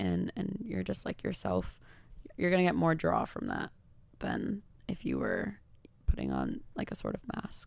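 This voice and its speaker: The delivery moves at a fairly slow pace. Long pauses come often. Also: woman. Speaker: content creator. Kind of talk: casual chat. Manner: casual, many fillers.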